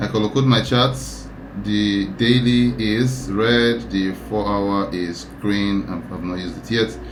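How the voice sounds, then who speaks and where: Here a man's voice sits fairly low, with ordinary pitch variation. Noticeable background noise and audible room echo accompany him. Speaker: trading educator. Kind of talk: tutorial. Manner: thinking aloud, sometimes mumbling; halting, with self-repeats.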